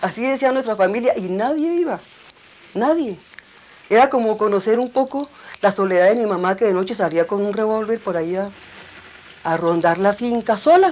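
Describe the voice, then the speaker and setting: Over noticeable background noise, the speaker talks at a moderate pace with lively intonation. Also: woman. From Colombia, Bogotá and rural Cundinamarca. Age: 60s. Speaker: documentary filmmaker. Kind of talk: testimony.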